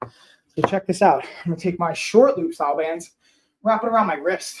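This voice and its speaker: Lively intonation runs through the man's speech. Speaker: fitness coach. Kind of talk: live workout tutorial. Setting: home live stream. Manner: loud; energetic.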